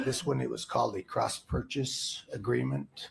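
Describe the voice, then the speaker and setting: A man speaks quietly. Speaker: insurance and investment adviser, trial witness. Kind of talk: witness testimony. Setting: courtroom. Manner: halting, many fillers. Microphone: far from the mic.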